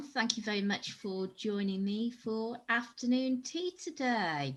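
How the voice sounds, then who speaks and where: A woman's fairly high, somewhat breathy voice with lively intonation. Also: fairly slow pace. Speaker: NLP coach. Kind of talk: interviewer.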